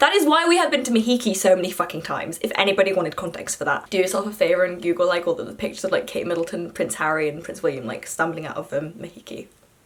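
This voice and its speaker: A woman with an animated tone and lively intonation, speaking at a very fast pace with hardly any pauses over noticeable background noise. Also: medium pitch for a woman. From Yorkshire, northern England. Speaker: student vlogger. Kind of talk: casual vlog storytelling. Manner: animated, chatty with fillers.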